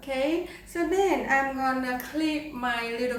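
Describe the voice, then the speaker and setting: Speaking with a Vietnamese accent, a woman has a high pitch and ordinary pitch variation. Noticeable background noise and audible room echo fill the recording. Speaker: saxophone player. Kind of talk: tutorial.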